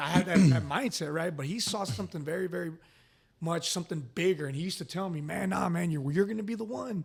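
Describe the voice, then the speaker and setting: A man with a Texan accent speaks at a very fast pace. His pitch is high. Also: ordinary pitch variation. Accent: Texan American. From Dallas, Texas. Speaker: real estate investor, construction manager. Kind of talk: interview. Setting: industry event. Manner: casual, profane.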